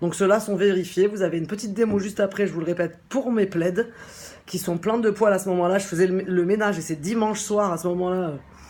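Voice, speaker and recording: Her tone dark and mellow, a woman speaks at a very fast pace. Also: medium pitch for a woman. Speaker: shop owner presenting a product. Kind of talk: casual product presentation. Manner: animated.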